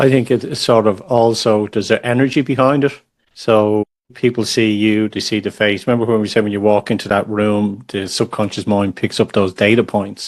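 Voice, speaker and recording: A man with an Irish accent, fairly low in pitch, at a fairly quick pace with fairly even intonation. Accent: Irish, understandable. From Ireland. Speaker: podcast host. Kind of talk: podcast interview. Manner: repeats words when starting sentences.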